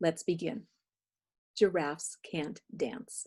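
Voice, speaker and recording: This voice has a dark, mellow tone and a warm, gentle tone, somewhat breathy at a fairly slow pace with ordinary pitch variation. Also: woman. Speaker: children's read-aloud teacher / grandmother figure. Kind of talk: casual direct address to young children. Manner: warm, gentle, engaging.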